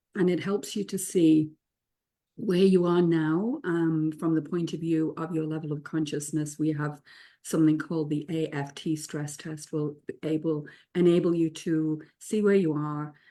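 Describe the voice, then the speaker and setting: Her voice very deep and low in pitch, a woman speaks at a moderate pace in a dark, mellow tone with fairly even intonation. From England. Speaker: spiritual teacher and author. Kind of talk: casual group discussion.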